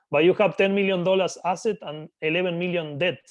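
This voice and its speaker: Very fast speech in a Spanish accent, with ordinary pitch variation. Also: man. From Argentina. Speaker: business acquirer. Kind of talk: interview.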